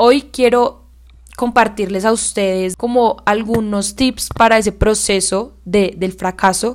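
Fairly even intonation from a woman at a very slow pace. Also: fairly high pitch for a woman. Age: 20s. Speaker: podcast host and young entrepreneur. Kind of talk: solo podcast monologue.

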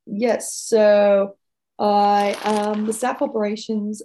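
A woman with a Dublin accent speaks at a medium pitch in a dark, mellow tone. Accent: Dublin Irish. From Ireland, Dublin. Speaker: racing staff operations manager. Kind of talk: interview conversation.

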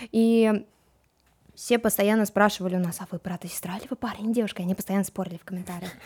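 The voice is somewhat breathy, with fairly even intonation and big swings in loudness at a very fast pace. It comes through a very clean recording with a silent background. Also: woman, medium pitch for a woman. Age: young. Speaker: TikTok blogger. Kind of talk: casual chat. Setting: studio.

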